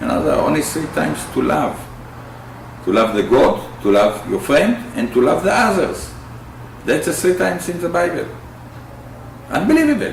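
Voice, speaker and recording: Amid noticeable background noise and audible room echo, a man talks at a moderate pace with long, frequent pauses. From Israel. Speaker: peace activist, bereaved father. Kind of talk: interview. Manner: halting.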